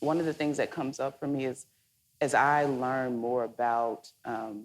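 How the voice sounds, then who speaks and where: A Southern US accent is heard in a very clean recording with a silent background. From Mississippi. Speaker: moderator. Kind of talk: onstage interview. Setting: stage with audience.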